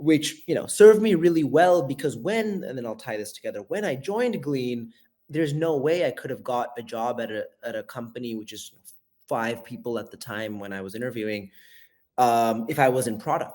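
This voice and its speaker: With an American accent, a man speaks in a dark, mellow tone at a fairly quick pace. His loudness swings widely. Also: medium pitch for a man, lively intonation. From US Bay Area and India. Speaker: venture capital investor. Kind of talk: interview conversation.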